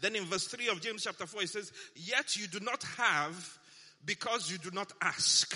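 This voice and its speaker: At a moderate pace, a man speaks in a raised, projected voice at a high pitch, with an animated tone and ordinary pitch variation. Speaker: pastor. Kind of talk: sermon, preacher in full flow. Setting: church with congregation. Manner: animated, call-and-response, rousing; emphatic, repeats lines for the crowd.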